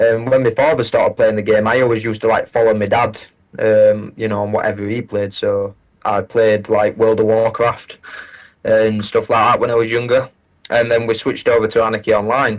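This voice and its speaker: A man at medium pitch, fairly quick and monotone, with flat intonation. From northern England, South Yorkshire. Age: 20s. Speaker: gaming streamer. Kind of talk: casual chat.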